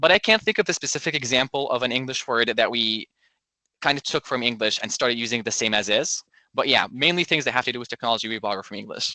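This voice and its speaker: A man talks at a very fast pace in a medium pitch with ordinary pitch variation and a bright, sharp tone. The sound is dry and close with no echo, over a quiet background. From Egypt. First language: Arabic. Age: 20s. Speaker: medical student interviewee. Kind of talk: interview answers.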